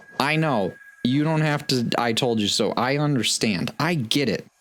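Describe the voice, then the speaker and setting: A man speaks with music in the background. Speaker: gaming YouTuber. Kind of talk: let's play commentary. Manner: fast; animated.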